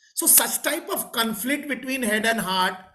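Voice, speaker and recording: A man with an extremely high pitch speaks at a fairly slow pace in a raised, projected voice, bright and sharp in tone with lively intonation. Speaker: professor and interviewer. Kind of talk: interview. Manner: halting.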